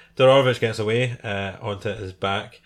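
Pitched fairly low, the man talks in a British accent. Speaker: MMA podcast host. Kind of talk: casual solo commentary. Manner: fast with many fillers; halting, self-interrupting.

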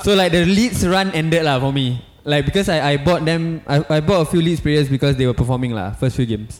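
Talking at a fairly quick pace with hardly any pauses, a man uses an unremarkable speaking voice pitched fairly high. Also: lively intonation. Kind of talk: casual chat.

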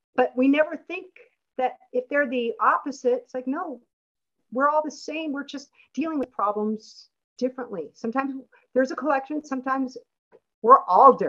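The tone is bright and sharp, with big swings in loudness and ordinary pitch variation. The pace is moderate, broken by long, frequent pauses. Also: woman, high pitch for a woman. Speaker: event moderator and space artist. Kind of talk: moderating a virtual art exhibition. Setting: video call.

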